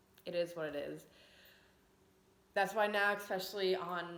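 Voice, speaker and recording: In an American accent, a woman speaks at a fairly slow pace and medium pitch with monotone, flat intonation, and room echo can be heard. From Long Island, New York. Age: 20s. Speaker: vlogger. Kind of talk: casual personal vlog talk. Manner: conversational, frequent fillers.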